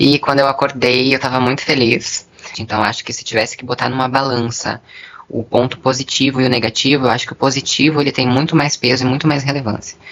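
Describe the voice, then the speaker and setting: Over noticeable background noise, a woman with a very deep, low voice speaks very fast in a monotone, flat way. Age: 20s. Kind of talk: interview testimony.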